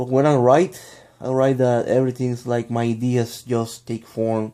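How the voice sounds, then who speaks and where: A man's medium-pitched voice, dark and mellow in tone, with a Spanish accent and fairly even intonation. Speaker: vlogger. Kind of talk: casual vlog monologue. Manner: halting, many fillers and restarts.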